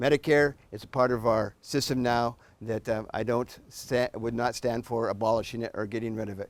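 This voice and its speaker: This man speaks at a moderate pace in a medium pitch, with fairly even intonation. He has a plain, everyday voice. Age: 60s. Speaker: political candidate. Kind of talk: candidate debate.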